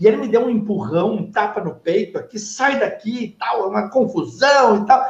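A man talks with hardly any pauses at a high pitch and with ordinary pitch variation. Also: moderate pace. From southern Brazil, Novo Hamburgo (Rio Grande do Sul). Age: 40s. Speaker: radio station director. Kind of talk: casual chat. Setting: at the radio station.

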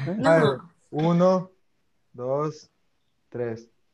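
Very slowly, a man speaks at a fairly high pitch. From Ecuador. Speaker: podcast host. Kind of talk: casual chat.

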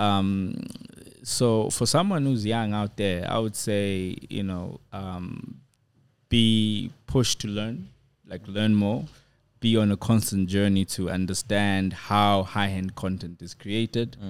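Speaking at a very slow pace, a man with a South African accent has fairly low pitch and ordinary pitch variation. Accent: picking up a South African. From Zambia. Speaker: filmmaker and director. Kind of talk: casual interview.

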